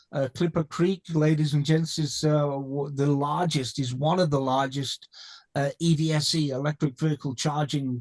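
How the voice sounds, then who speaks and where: Here a man speaks with a slight British accent in a fairly high pitch. His pace is fairly slow and his intonation fairly even. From England. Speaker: company co-founder. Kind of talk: interview. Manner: halting, many fillers and repeats.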